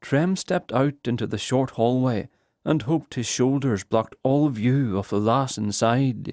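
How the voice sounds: Over a quiet background, a natural reading voice shows ordinary pitch variation.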